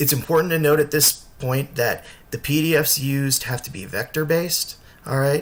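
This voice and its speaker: Somewhat breathy and fairly high-pitched, a man speaks with fairly even intonation but big swings in loudness. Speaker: construction layout tutorial maker. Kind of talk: tutorial. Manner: fast; casual with frequent fillers.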